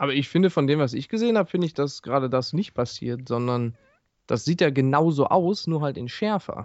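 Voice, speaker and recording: This man talks at a fairly quick pace in a Ruhr accent, his fairly high pitch carried by lively intonation. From Ruhr area, near Duisburg. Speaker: gaming podcast co-host. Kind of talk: casual chat.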